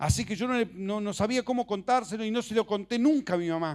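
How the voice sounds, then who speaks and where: On a very clean recording with a silent background, a man talks with a high pitch. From Argentina, Misiones province. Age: 60s. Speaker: preacher. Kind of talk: sermon.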